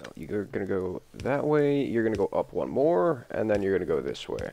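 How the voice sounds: A man speaks at a fairly low pitch, gravelly and with vocal fry. His slightly mellow tone moves through big pitch swings.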